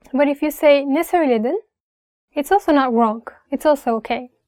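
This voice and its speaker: Speaking at a fairly slow pace, a woman with a Turkish accent is heard in a dry, close sound with no echo. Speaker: language teacher. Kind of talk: tutorial.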